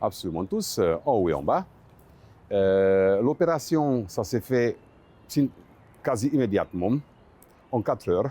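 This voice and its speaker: A dark, mellow voice moves through very wide pitch swings at a fairly slow pace, with long, frequent pauses. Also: man. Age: 60s. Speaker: dental patient. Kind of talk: testimony. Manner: halting, many filler sounds.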